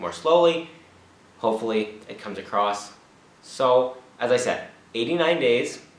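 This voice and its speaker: Noticeable background noise and audible room echo surround a voice with ordinary pitch variation. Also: man. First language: not Czech (learning it). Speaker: language learner vlogger. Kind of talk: casual vlog monologue.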